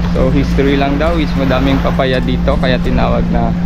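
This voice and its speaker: A man talks at a moderate pace. Background music accompanies his voice. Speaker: travel vlogger. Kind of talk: casual vlog chat. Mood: cheerful, relaxed. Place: beach. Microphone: phone near.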